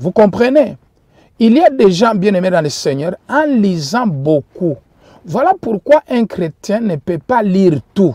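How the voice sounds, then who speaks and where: A man with a non-native accent speaks at a very slow pace, his high pitch making very wide swings in a dark, mellow tone. The sound is dry and close with no echo. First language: not French (speaking French). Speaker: preacher. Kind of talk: sermon. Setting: livestream.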